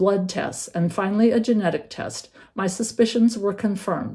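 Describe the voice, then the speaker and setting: A woman talks at a moderate pace with medium pitch and ordinary pitch variation. It is a plain, everyday voice. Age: 60s. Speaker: patient with a rare metabolic disease. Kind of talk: prepared patient testimony.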